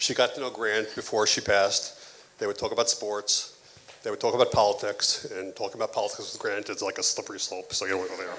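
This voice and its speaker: A man mumbles at a fairly quick pace. Noticeable background noise sits behind him. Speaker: father of the bride giving a toast. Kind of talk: wedding toast. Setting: wedding reception, audience. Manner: mumbling.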